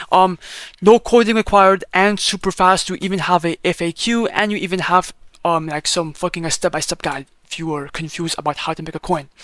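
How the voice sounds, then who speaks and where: A man with a high pitch talks at a fairly quick pace in a dry, close sound with no echo. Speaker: crypto YouTuber. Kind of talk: tutorial. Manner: fast; casual, animated.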